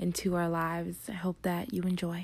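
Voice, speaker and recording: Moderate pace on a very clean recording with a silent background. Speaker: prayer leader. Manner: impassioned, rising and swelling on repeated 'come' and 'right now'; earnest, rhythmic, with short repeated phrases.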